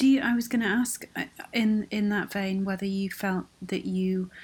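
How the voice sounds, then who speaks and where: A woman with an unremarkable speaking voice talks at a moderate pace, her intonation fairly even. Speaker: podcast host. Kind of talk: interview. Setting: remote call.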